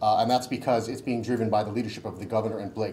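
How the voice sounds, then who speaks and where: Somewhat breathy and medium in pitch, a man talks over light background noise. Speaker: state health department official; presenter. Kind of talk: conference presentation. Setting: stage with audience. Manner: humorous. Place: meeting room. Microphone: podium.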